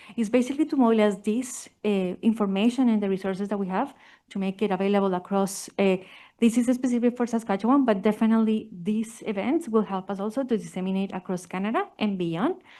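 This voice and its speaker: Very fast and fairly high-pitched, a woman with a Spanish accent speaks in a dark, mellow tone with ordinary pitch variation against a quiet background. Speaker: family physician researcher. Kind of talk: conference presentation.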